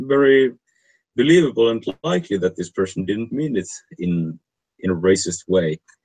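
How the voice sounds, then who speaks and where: A man speaks with a non-native accent at a fairly low pitch. His pitch swings very widely. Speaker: online stream host. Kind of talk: casual discussion of a research paper. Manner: halting, frequent word repetition.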